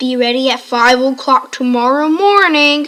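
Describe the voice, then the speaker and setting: A woman puts on a character voice at a high pitch. She speaks at a moderate pace. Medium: read story. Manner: menacing.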